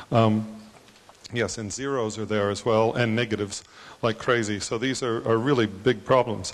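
A man speaks at a moderate pace in a monotone with flat intonation. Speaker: conference attendee, economist; audience member. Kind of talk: audience question. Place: hall.

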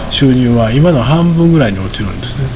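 Speaking at a fairly quick pace, a man uses lively intonation and a fairly high pitch over light background noise. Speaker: market commentator. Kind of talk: solo commentary video. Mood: relaxed, often smiling. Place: home room. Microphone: studio mic.

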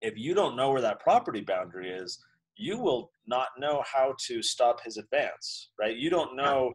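A man's medium-pitched voice with lively intonation at a moderate pace, over a quiet background. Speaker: founder of a libertarian education institute and children's book author; interview guest. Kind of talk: casual interview chat. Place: office. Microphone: video call.

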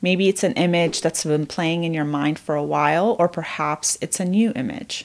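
A plain, everyday voice from a woman, fairly low in pitch with ordinary pitch variation, in a very clean recording with a silent background. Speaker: therapist. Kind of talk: guided meditation. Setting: video. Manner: slow, calm, soothing; gentle, with long pauses.

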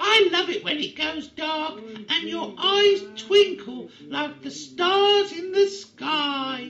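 In a put-on character voice, a female-sounding speaker talks at an extremely high pitch and a very slow pace. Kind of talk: comic overacting. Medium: comedy sketch. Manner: gushing, coy, flirtatious.

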